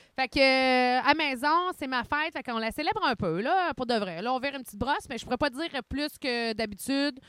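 Speaking at a fairly quick pace, a woman with a Quebec accent has a high pitch and lively intonation. The recording is very clean, with a silent background and a dry, close sound with no echo. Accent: Québécois French. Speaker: podcast co-host. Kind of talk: casual chat. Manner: fast.

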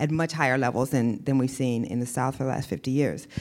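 In a very clean recording with a silent background, a woman speaks with an American accent. Her voice is very deep and low, with ordinary pitch variation. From Iowa. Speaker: investigative journalist. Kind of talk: onstage interview. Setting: stage with audience.

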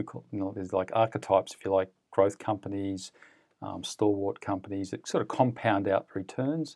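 In an Australian accent, the voice moves at a fairly quick pace with a dark, mellow tone and big swings in loudness, captured on a very clean recording with a silent background and a dry, close sound with no echo. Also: man, fairly low pitch for a man, ordinary pitch variation. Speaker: fund manager. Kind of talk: interview.

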